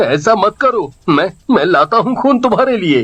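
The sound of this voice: A man does a put-on character voice with big pitch swings. It sits high with a fairly bright tone and a slightly husky edge. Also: moderate pace.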